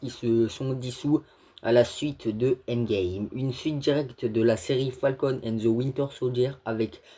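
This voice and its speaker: A man's medium-pitched voice with a dark, mellow tone, fairly even intonation and a fairly slow pace. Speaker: YouTuber, film news commentator. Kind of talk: casual video commentary. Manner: halting, stammering.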